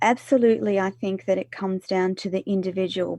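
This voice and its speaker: A woman talks in a plain, everyday voice. Her pitch variation is ordinary. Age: 50s. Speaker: radio presenter and author; former nurse. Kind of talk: interview answer.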